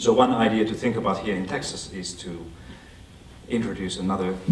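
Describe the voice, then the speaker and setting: A man with a Finnish accent speaks amid noticeable background noise and audible room echo. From Finland. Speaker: education expert and author. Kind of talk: lecture. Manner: halting.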